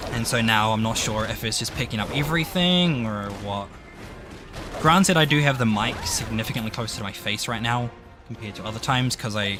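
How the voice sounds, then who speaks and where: A man mumbles at a fairly quick pace with lively intonation. Music plays in the background amid audible room echo. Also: medium pitch for a man. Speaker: gaming streamer. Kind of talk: casual gameplay stream chat. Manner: mumbling.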